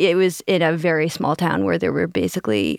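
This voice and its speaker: On a very clean recording with a silent background and a dry, close sound with no echo, a woman speaks at a moderate pace in a fairly low pitch with vocal fry. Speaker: podcast host. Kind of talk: casual chat.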